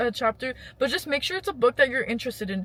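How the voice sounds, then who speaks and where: A woman's raised, projected voice, high-pitched, with a bright, sharp tone. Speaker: lifestyle vlogger. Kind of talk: casual advice vlog. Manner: rambling, conversational.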